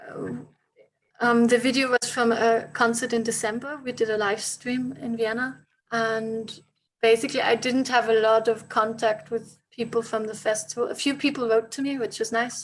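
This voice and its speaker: Her intonation fairly even, a woman talks at a fairly high pitch. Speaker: musician. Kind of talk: interview. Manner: slow; halting.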